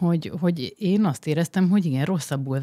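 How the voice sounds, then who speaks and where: Dark, mellow tone from a woman, the background quiet. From Hungary. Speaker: guest, wife of smart home enthusiast; guest. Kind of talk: casual chat. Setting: studio. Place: studio. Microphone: studio mic.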